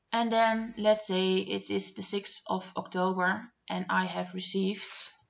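A woman with a Dutch accent, at a fairly slow pace. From Netherlands. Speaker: budgeting vlogger. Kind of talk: screen-share tutorial narration. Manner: hesitant, many filler words. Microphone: webcam.

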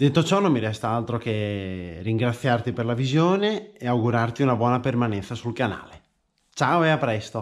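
The speech comes at a moderate pace with lively intonation against a quiet background. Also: man, medium pitch for a man. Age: 20s. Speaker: motocross rider and two-stroke enthusiast. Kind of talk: casual channel introduction to camera. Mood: friendly, upbeat. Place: garage. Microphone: phone near.

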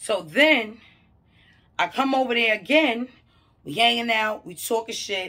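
A woman with a fairly high pitch speaks in a bright, sharp, animated tone with lively intonation, big swings in loudness, and long, frequent pauses against a quiet background. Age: 30s. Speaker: mental health counselor and vlogger; vlogger. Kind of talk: casual vlog monologue. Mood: opinionated, incredulous. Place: home room. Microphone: phone near.

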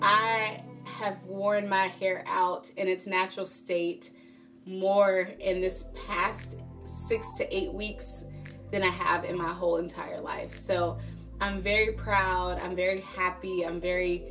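A woman delivers her words very slowly as music plays clearly behind her. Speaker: hair care vlogger. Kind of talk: casual vlog chat. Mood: upbeat, warm, encouraging. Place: home room.

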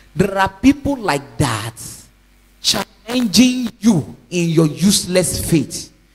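Over noticeable background noise, a man with a high voice speaks very slowly, his pitch swinging very widely. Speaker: evangelist preacher. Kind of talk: sermon.

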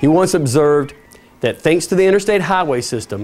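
A man's voice with a fairly high pitch. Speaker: TV presenter. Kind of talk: TV travel show host presentation. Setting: outdoors. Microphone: lapel.

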